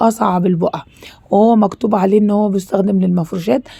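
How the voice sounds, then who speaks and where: A woman with an Egyptian accent speaks at a medium pitch and a fairly quick pace, her tone dark and mellow and somewhat breathy. Her pitch varies in an ordinary way. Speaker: cooking and home YouTuber. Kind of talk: product review. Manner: animated.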